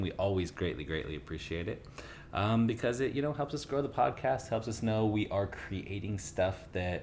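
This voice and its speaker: A man talks in an ordinary speaking voice at a moderate pace. His pitch is fairly low. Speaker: podcast co-host; yoga instructor.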